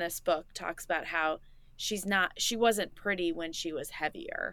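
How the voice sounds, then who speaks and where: Speaking in a US Midwestern accent, a woman has a medium pitch and a bright, sharp tone with ordinary pitch variation. The recording is very clean, with a silent background. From Indiana, US Midwest. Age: 30s. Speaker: podcast guest, host's friend since high school. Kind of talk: casual chat.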